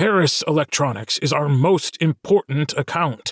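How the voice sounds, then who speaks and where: A man in a put-on character voice talks at a fairly high pitch and a moderate pace with ordinary pitch variation, the sound dry and close with no echo on a very clean recording with a silent background. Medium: read story. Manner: barking, curt.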